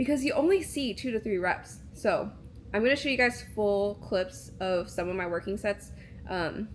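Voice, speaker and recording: A woman speaks at a medium pitch with vocal fry. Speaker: vlogger and videographer. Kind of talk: casual vlog voiceover. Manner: many filler words and pauses; casual, conversational.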